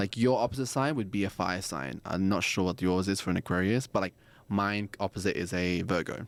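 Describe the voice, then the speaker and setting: In a very clean recording with a silent background, a man with an Australian accent speaks at a fairly quick pace, his fairly low pitch showing ordinary variation. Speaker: astrology and tarot guest. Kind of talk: casual chat. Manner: animated.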